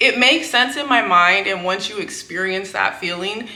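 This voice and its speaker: Over music in the background and audible room echo, a woman speaks at a moderate pace with an American accent. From California. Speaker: book YouTuber. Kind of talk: casual vlog talk. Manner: casual with fillers.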